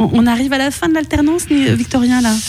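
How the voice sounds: The voice has a slightly mellow tone and moves at a fast pace. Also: woman, high pitch for a woman, ordinary pitch variation.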